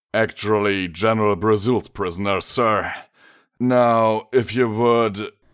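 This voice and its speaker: A man does a put-on character voice at medium pitch, flat and monotone. He goes at a fairly slow pace on a very clean recording with a silent background. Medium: read story. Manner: cocky, curt.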